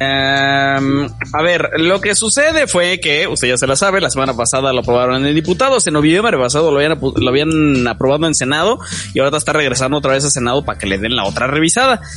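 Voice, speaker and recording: Delivered at a very fast pace with hardly any pauses, the speech keeps a very even loudness over noticeable background noise. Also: man, fairly high pitch for a man, ordinary pitch variation. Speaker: podcast host. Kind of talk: casual chat.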